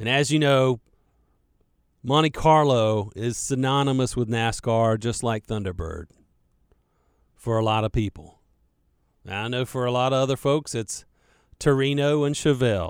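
The speaker has a Carolina accent and talks at a moderate pace with ordinary pitch variation and long, frequent pauses. The recording is very clean, with a silent background. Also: man, medium pitch for a man. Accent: Southern US, Carolina. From Charlotte, North Carolina. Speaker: radio host. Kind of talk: casual radio talk, answering listener questions. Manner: rambling, casual, many filler words.

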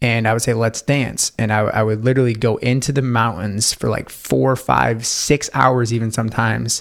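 In a plain, everyday voice, a man with an American accent talks at a moderate pace and medium pitch with ordinary pitch variation, very even loudness and hardly any pauses. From upstate New York. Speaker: intuitive life coach. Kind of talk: podcast interview. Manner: casual, many fillers.

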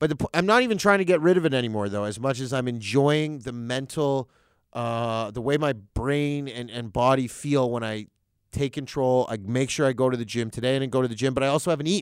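An ordinary speaking voice with a Canadian accent, fairly quick in pace, with ordinary pitch variation and a very clean recording with a silent background. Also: man. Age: 30s. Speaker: comedian. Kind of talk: casual chat. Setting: studio.

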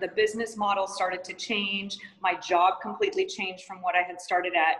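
With lively intonation and a fairly quick pace, a woman talks through noticeable background noise. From Montana, US. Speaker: yoga teacher and studio owner. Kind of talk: interview.

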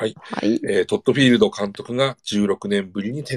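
On a very clean recording with a silent background and a dry, close sound with no echo, a man uses a normal speaking voice at medium pitch with ordinary pitch variation. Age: 40s. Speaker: podcast host and talent agency president. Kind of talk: casual chat; reading aloud.

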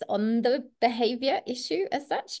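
In an English accent, a woman talks with ordinary pitch variation. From England. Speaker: podcast host, dog trainer. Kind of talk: casual chat.

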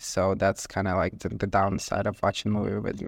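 A nervous-sounding man with a Ukrainian accent, fairly low in pitch and fairly quick, dry and close with no echo against a quiet background. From Ukraine. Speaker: content creator and street interviewer. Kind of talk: casual interview.

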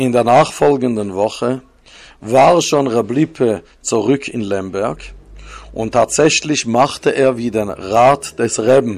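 A man with a Swiss accent, very slow pace, medium pitch and ordinary pitch variation. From Switzerland. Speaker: religious storyteller. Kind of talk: storytelling. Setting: home recording.

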